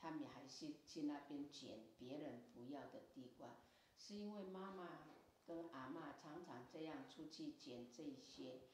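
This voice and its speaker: A woman speaks very slowly in a very deep, low voice. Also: lively intonation. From Tafalong, Hualien, Taiwan. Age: 70s. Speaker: Amis traditional song sharer. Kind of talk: interview answer. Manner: casual storytelling.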